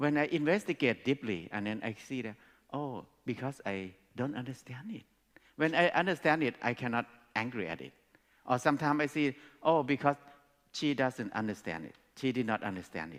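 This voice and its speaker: A man of medium pitch with a Thai accent, lively intonation, big swings in loudness and long, frequent pauses. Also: fairly quick pace. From Thailand. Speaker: speaker. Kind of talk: talk to an audience. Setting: stage with audience.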